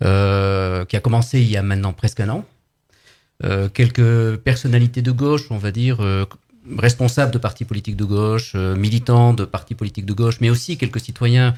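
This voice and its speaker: Over a silent background in a very clean recording, a man with a dark, mellow tone speaks at a moderate pace, his medium pitch held in fairly even intonation. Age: 60s. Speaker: political activist. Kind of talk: live radio interview. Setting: studio.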